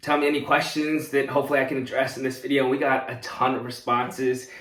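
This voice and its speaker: Speaking at a medium pitch, a man is heard with audible room echo. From US, moved from South Korea at age three. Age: 20s. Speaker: content creator, student. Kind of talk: casual Q&A to camera. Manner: upbeat, animated.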